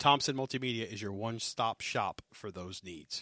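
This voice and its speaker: A man with a Southern US accent speaks in a bright, sharp tone with ordinary pitch variation. The sound is dry and close with no echo, on a very clean recording with a silent background. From US South. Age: 40s. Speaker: podcast host and firefighter. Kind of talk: casual chat. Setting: studio.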